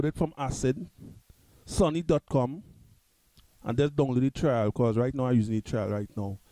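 A man speaks with a dark, mellow tone in a dry, close sound with no echo. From Trinidad and Tobago. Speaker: music tutorial youtuber. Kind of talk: tutorial. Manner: halting.

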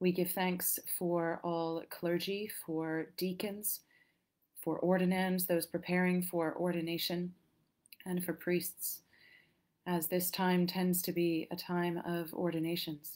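A woman's calm, fairly low voice in a monotone, flat intonation at a very slow pace, over a quiet background. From England. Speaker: clergy leading prayer. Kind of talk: liturgical prayer service. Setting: church. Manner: calm, measured. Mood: calm, solemn. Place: home room. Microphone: webcam.

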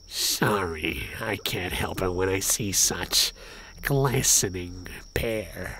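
A put-on character voice comes at a low pitch and a very slow pace. Clear background noise is present. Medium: game stream. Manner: oily, flattering.

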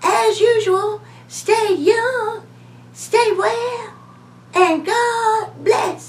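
In a cartoonish character voice, a female-sounding speaker hits an extremely high pitch against clear background noise. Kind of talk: talk show interview host. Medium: puppet. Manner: gracious, polite.

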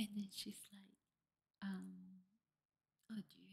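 At a fairly slow pace, a woman speaks. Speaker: storytelling podcaster. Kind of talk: casual vlog chat. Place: home room. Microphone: studio mic.

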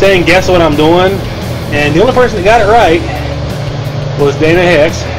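A man's voice with music in the background. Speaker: home DIY vlogger. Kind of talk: casual vlog chat. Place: home room. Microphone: phone near.

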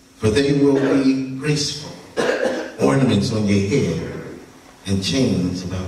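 Audible room echo surrounds the recording. A man speaks at a very slow pace. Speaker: preacher. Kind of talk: scripture reading and prayer. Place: church.

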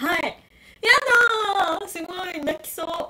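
A woman speaks in an animated tone, her voice raised and projected, with very wide pitch swings. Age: 20s. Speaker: YouTuber doing live stream. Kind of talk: casual live-stream chat reading comments. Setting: live stream. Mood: excited, moved. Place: home room. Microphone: crackling audio; phone near.

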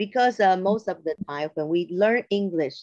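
A woman's fairly low, dark, mellow voice with lively intonation and a cheerful tone, against a quiet background. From Taiwan. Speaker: elementary school English teacher. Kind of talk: online lecture presentation. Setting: video call. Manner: cheerful, laughs often. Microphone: video call.

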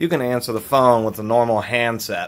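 Here a man talks at a fairly quick pace. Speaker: product reviewer. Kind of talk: casual product review. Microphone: phone near.

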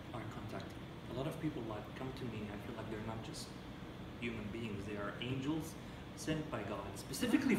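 With loud background noise and audible room echo, a man talks at a fairly quick pace with ordinary pitch variation. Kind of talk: interview answer. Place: meeting room. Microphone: camera far.

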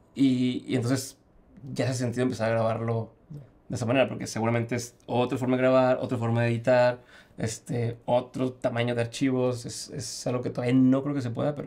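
This speaker talks fairly quickly with a Mexican accent. The intonation stays monotone and flat. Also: man. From Mexico. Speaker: podcaster trying a tech gadget. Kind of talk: casual chat. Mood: amazed, relaxed. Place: studio.

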